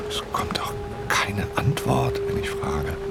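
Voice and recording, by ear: Whispering slowly with vocal fry, a man puts on a character voice.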